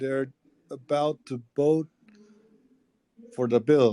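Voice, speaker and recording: A Spanish accent with fairly even intonation, in a dry, close sound with no echo. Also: man. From El Salvador. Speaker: political campaign manager. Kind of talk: casual chat. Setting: call from inside Congress chamber.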